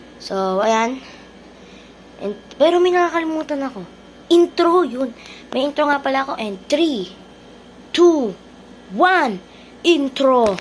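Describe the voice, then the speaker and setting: Her voice high, a woman speaks fairly slowly with long, frequent pauses, big swings in loudness and very wide pitch swings. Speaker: gaming streamer. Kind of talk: gameplay commentary. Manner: soft-spoken. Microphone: no external mic, quiet audio.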